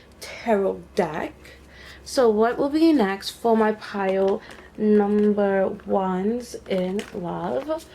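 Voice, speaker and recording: Noticeable background noise sits behind a woman at medium pitch whose pitch variation is ordinary. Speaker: tarot reader. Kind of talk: tarot reading. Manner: slow; casual, hesitant with fillers.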